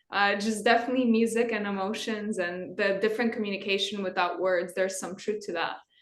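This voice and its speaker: Speaking at a medium pitch, a woman keeps a moderate pace and ordinary pitch variation. Audible room echo surrounds her voice. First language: not English. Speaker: guitarist in a metal band. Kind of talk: interview.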